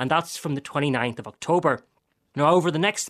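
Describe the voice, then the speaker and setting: A man speaks in an Irish accent. His intonation is lively. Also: dry, close sound with no echo, quiet background. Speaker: historian. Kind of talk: interview.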